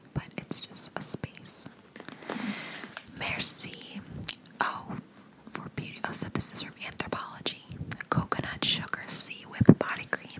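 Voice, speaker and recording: A soft-spoken woman whispers at a fairly slow pace. Her pauses are long and frequent. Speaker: ASMR creator. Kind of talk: soft-spoken ASMR unboxing chat. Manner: soft close-mic ASMR whisper. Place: home room. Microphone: studio mic.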